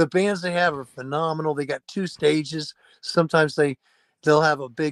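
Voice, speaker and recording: Using an ordinary speaking voice, a man talks at a moderate pace and fairly high pitch with fairly even intonation, in a very clean recording with a silent background and a dry, close sound with no echo. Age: 60s. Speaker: rock band singer. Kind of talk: casual chat.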